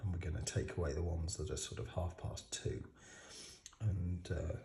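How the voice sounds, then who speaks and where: A man's very deep, low voice with a British accent, somewhat breathy, dark and mellow in tone, with ordinary pitch variation. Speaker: watch modding hobbyist. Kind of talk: tutorial. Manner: halting.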